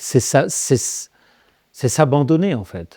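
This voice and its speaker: In a very clean recording with a silent background, a man speaks with a dark, mellow tone and ordinary pitch variation. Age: 60s. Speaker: exorcist and medium. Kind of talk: interview. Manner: halting, many repetitions and fillers.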